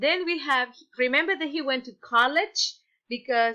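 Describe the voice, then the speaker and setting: A woman talks in a raised, projected voice, high in pitch with a bright, sharp tone. She keeps a moderate pace while her pitch swings very widely. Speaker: teacher. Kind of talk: lesson for children.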